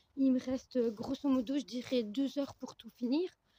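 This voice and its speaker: Soft-spoken and high-pitched, a woman speaks at a fairly slow pace in a dry, close sound with no echo. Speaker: horse owner vlogger. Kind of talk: casual vlog while doing stable chores. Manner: hesitant, many fillers. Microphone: no microphone.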